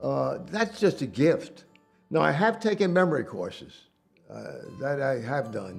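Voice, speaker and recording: Someone with a New York accent talks at a fairly slow pace while music plays in the background. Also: man. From Manhattan, New York. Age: 80s+. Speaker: business owner. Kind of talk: interview answer.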